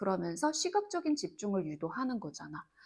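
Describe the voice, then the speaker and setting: A woman's fairly high voice with vocal fry and very wide pitch swings, at a moderate pace. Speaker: Korean literature tutor. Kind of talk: lecture. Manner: casual, informal speech.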